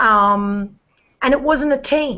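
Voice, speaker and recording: A woman speaks with an American accent at a very slow pace. Her intonation is fairly even. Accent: Australian with slight Texas twang. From Australia. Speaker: network marketer. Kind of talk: casual chat.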